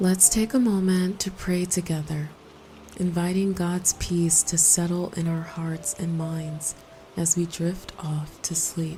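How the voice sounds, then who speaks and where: Over noticeable background noise, a woman with a fairly low pitch speaks at a very slow pace, her tone calm and soothing and her intonation fairly even. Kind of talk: sleep scripture reading and prayer. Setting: with rain sounds in background. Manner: calm, soothing, slow.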